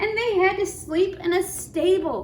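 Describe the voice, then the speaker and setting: Using a put-on character voice with an extremely high pitch, a woman talks at a moderate pace over clear background noise. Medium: read story. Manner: clucking.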